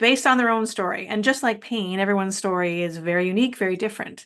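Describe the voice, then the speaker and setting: Against a quiet background, a woman with an ordinary speaking voice, fairly high pitch and lively intonation talks with a Canadian accent. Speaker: podcast host. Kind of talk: podcast interview.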